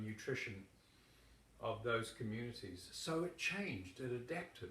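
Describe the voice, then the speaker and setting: Speaking at a fairly slow pace with a New Zealand accent, a man is heard with audible room echo. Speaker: yoga teacher. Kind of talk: political endorsement talk.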